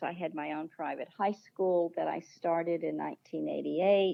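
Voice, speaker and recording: This is a woman speaking. Her pace is moderate. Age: 70s. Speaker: author and mental health researcher. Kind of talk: interview.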